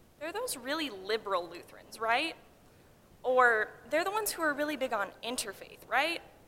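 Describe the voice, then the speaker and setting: A woman uses a raised, projected voice with very wide pitch swings. Her pitch is high. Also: moderate pace. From Hawaii, Honolulu. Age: 20s. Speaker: pre-seminary college student. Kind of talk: chapel talk. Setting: college chapel.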